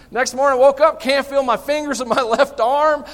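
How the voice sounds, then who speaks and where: With a Southern US accent, a man talks at an extremely high pitch. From US South. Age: 50s. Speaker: pastor. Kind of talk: sermon. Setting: church. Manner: animated.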